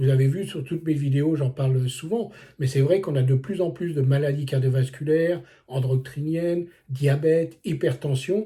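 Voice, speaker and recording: Fairly high in pitch yet dark and mellow in tone, a man speaks somewhat breathily at a moderate pace with ordinary pitch variation. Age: 60s. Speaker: wellness coach. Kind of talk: vlog monologue. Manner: casual, with many hesitations.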